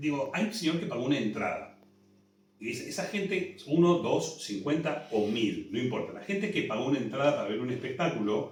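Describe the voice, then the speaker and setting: A man with a Rioplatense accent talks fairly quickly at a fairly high pitch, with very wide pitch swings. There is audible room echo and noticeable background noise. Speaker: musical theatre director. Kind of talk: interview.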